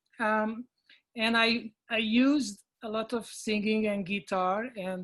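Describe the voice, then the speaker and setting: A woman speaks in a fairly high, somewhat breathy voice. Her intonation stays fairly even. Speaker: actor. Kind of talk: panel discussion.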